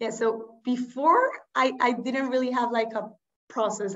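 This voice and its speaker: This is a woman speaking. The background is quiet. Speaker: interviewee. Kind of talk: interview answer. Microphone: video call.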